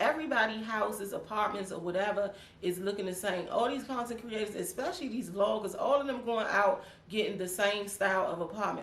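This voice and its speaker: A woman speaks fairly quickly at a fairly high pitch, animated in tone with ordinary pitch variation. Noticeable background noise and audible room echo surround her. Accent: DC. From Washington DC. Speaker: YouTuber. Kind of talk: casual chat.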